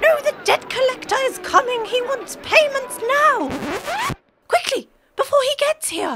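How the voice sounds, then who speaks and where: A man speaks in a put-on character voice at an extremely high pitch. His pace is moderate. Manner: loud, blustering.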